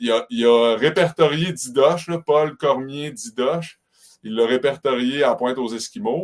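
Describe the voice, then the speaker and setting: A man talks in an ordinary speaking voice at a fairly slow pace. His pitch variation is ordinary. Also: fairly high pitch for a man. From Quebec, Côte-Nord (Havre-Saint-Pierre). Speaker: tourism business owner. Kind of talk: interview.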